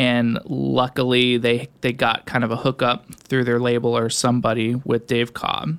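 A man's medium-pitched voice at a fairly slow pace. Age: 20s. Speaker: music producer and studio owner. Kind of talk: casual interview. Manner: halting, many fillers.

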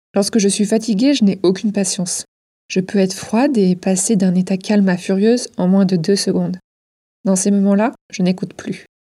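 A woman speaks at a moderate pace and medium pitch in a somewhat breathy voice with a dark, mellow tone. Her loudness stays very even in a very clean recording with a silent background. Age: 30s. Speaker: podcast host. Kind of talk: scripted narration.

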